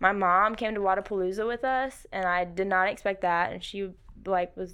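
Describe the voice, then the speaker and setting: In an American accent, a woman speaks at a moderate pace and medium pitch in an ordinary speaking voice. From South Carolina, Rock Hill area. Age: 20s. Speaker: CrossFit athlete and coach. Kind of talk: podcast interview. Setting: studio.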